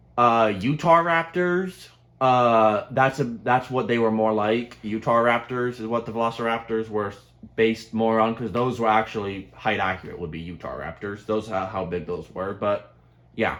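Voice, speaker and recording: A man talks at a moderate pace with a medium pitch. His is a normal speaking voice with ordinary pitch variation. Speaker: YouTuber reviewing movie trailers. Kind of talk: casual chat.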